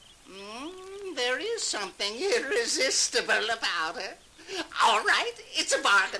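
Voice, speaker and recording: A high-pitched put-on character voice, fairly slow, with very wide pitch swings. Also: female-sounding voice. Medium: read story. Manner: stammering, dithering, giggly.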